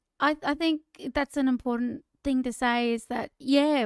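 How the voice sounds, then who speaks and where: On a very clean recording with a silent background, a woman with an Australian accent speaks in a high, monotone, flat voice, the sound dry and close with no echo. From Queensland, Australia (Bundaberg). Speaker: singer and podcast co-host, former school teacher. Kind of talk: casual chat.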